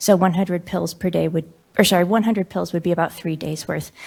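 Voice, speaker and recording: Recorded very cleanly with a silent background, a woman talks at a fairly quick pace. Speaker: physician testifying at hearing. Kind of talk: public testimony. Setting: legislative committee hearing room. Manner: hesitant, many fillers.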